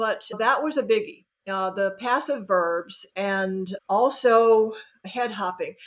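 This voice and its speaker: Speaking very slowly with an American accent, a woman uses a fairly high voice with ordinary pitch variation. The recording is very clean, with a silent background. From US South, Birmingham, Alabama. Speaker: author. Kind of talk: interview.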